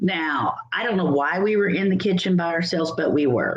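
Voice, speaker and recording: A woman's fairly low-pitched voice, an unremarkable speaking voice. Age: 60s. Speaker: channel host telling a personal story. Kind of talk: casual storytelling livestream. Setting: livestream.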